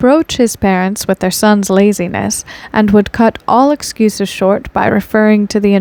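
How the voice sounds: The clip offers a natural reading voice. That voice is all there is to hear.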